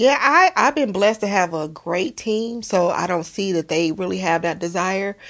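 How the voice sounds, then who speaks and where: In an ordinary speaking voice, a woman with an American accent talks at a moderate pace and medium pitch, with lively intonation and hardly any pauses. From Las Vegas, Nevada. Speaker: cosmetology school owner and author. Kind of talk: casual interview.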